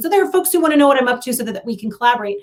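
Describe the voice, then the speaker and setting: With an American accent, a woman speaks in an energetic, high-pitched voice with lively intonation. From Iowa, US Midwest. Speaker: leadership consultant and coach. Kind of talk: podcast interview.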